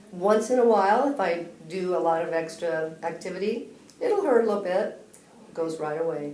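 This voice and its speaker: A woman's medium-pitched voice at a moderate pace with ordinary pitch variation, audible room echo and noticeable background noise. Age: 60s. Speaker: patient. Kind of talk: testimony.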